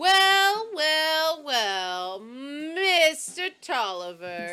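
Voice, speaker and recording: The speaker uses a put-on character voice with a high pitch and very wide pitch swings. The pace is very slow. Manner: blustery, mocking.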